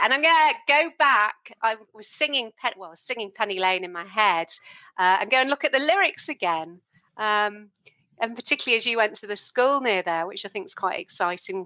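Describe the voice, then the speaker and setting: A woman in a British accent, fairly high-pitched, with lively intonation, a fairly quick pace and big swings in loudness. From UK, not Liverpool. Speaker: podcast host. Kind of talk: interview.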